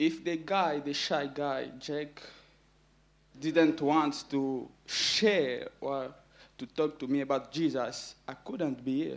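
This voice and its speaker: At a very slow pace and with fairly even intonation, the speaker talks in a non-native accent on a very clean recording with a silent background. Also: man, fairly high pitch for a man. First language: not English. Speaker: church member giving testimony. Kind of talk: testimony. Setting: church camp gathering with audience. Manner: emotional, laughs often.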